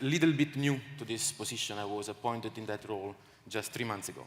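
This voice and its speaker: A man's medium-pitched voice, with ordinary pitch variation, moves at a fairly quick pace. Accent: Italian. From Italy. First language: Italian. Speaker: aircraft manufacturer marketing director. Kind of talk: conference panel discussion. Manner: halting, many fillers and repetitions.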